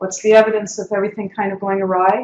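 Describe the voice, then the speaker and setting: The pace of this woman's speech is very fast. She has a medium pitch. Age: 60s. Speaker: activist speaker. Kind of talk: lecture.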